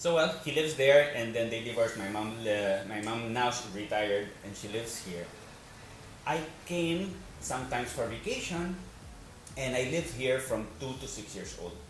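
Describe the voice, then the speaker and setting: At a moderate pace, the voice comes with big swings in loudness, audible room echo and noticeable background noise. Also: man, medium pitch for a man. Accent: Spanish. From Spain, Madrid. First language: Spanish. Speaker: actor and financial advisor. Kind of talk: interview.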